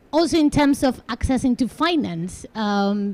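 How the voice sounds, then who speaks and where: At a moderate pace, a woman speaks in a dark, mellow, somewhat breathy tone. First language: neither English nor Portuguese. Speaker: panelist at climate event. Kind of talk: panel talk. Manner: halting.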